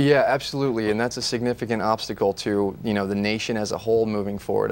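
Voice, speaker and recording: A man in an American accent rattles along very fast, his pitch fairly low. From US, Fresno, California. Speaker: congressional candidate and attorney. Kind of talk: TV interview. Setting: TV studio. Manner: many fillers, uh and um.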